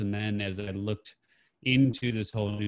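There's a quiet background. The speaker has a plain, everyday voice. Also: man. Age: 50s. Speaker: entrepreneur and author. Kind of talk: interview. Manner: casual, uses many fillers.

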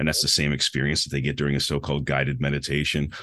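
A man talks over noticeable background noise. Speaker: meditation coach. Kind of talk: casual interview.

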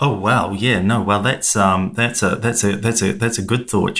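A man with a fairly low pitch talks at a fairly slow pace, his tone fairly bright and his intonation fairly even.

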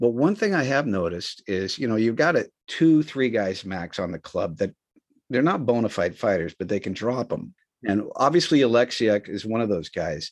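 A man speaks at a moderate pace in a medium pitch, with very wide pitch swings. The background is quiet. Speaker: podcast co-host. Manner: animated.

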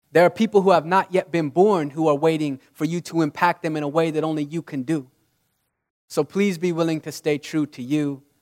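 In an unremarkable speaking voice, a man with an American accent talks at a fairly quick pace and fairly high pitch with fairly even intonation, in a dry, close sound with no echo on a very clean recording with a silent background. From Utah, US. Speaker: motivational speaker. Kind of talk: inspirational talk.

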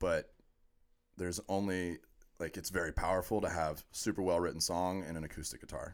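Recorded very cleanly against a silent background, a man with an American accent speaks at a moderate pace in a very deep, low pitch. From US, Orlando, Florida. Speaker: podcast guest, former sports radio host. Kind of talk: casual chat.

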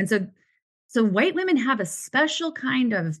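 The tone is passionate and animated, with lively intonation. The pace is moderate. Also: woman. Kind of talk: casual interview. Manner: passionate, animated.

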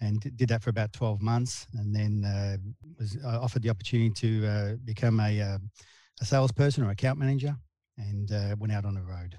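With an Australian accent, this voice is dark and mellow in tone and somewhat breathy. It moves at a fairly quick pace with fairly even intonation. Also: man, fairly low pitch for a man. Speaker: sales and marketing director. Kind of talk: interview. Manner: halting.

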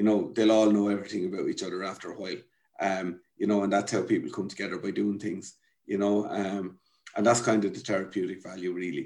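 Very fast, monotone, flat delivery in a Wexford Irish accent. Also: man, fairly low pitch for a man. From Ireland, rural County Wexford. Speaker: community development founder. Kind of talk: interview. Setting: at home.

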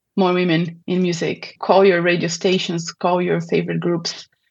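A woman with a Portuguese accent, medium pitch and moderate pace, against a quiet background. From southern Brazil. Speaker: opera singer and music advocate. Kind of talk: interview conversation.

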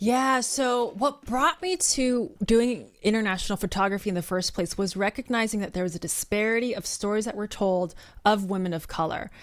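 A woman with an American accent speaks at a moderate pace in a fairly high voice, with lively intonation and hardly any pauses. The recording is very clean, with a silent background. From US West Coast, San Francisco Bay Area. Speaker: nonprofit founder and storyteller. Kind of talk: interview conversation.

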